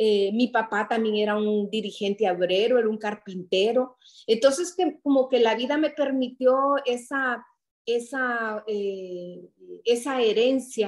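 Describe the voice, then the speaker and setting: The background is hushed. Words come at a very slow pace. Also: woman. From Honduras, Santa Rosa de Copán; Honduras. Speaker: writer and public policy specialist; interview guest. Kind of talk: interview. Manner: halting. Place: home room. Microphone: video call.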